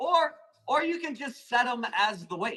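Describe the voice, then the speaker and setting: A man with an American accent, extremely high-pitched, raised and projected, bright and sharp in tone, with lively intonation. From Arizona, US. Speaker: plant seller hosting live auctions. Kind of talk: live sales stream.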